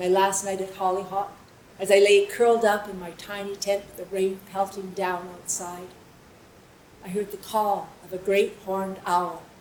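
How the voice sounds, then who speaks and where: A woman talks at a medium pitch and a fairly slow pace, her intonation monotone and flat. Audible room echo and noticeable background noise fill the recording. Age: 70s. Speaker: storyteller. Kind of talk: personal storytelling on stage. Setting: stage with audience.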